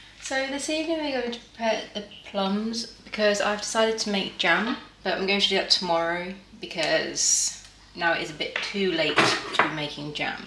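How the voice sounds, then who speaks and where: Noticeable background noise behind a woman's moderately paced speech. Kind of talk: casual cooking tutorial chat. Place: kitchen. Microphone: camera far.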